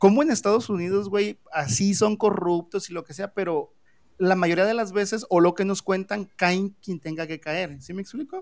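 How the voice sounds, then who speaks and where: Moving at a moderate pace, a man speaks in a high pitch with ordinary pitch variation and big swings in loudness. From Mexico. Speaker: podcast host. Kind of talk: casual chat.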